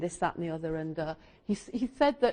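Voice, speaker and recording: In an English accent, a woman talks with very wide pitch swings. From England. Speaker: astrologer and teacher. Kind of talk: lecture. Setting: stage with audience. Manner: halting; animated.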